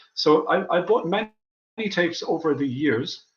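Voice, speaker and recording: A man with an Irish accent talks at a fairly quick pace, his intonation lively. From Ireland. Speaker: documentary filmmaker. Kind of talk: interview.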